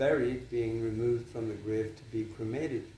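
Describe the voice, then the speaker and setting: The man's voice sits at a medium pitch. It comes across as somewhat breathy. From Northern Ireland. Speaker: former journalist and book writer. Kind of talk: interview answer.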